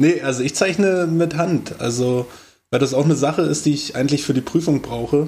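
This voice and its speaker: Through noticeable background noise, a man's speech moves fairly quickly. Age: 30s. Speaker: podcast co-host, carpentry apprentice. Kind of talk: casual chat.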